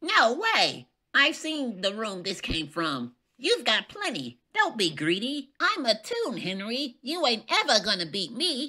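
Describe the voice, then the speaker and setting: A female-sounding voice in a put-on character voice speaks at a fairly high pitch and a fairly slow pace. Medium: dub. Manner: taunting.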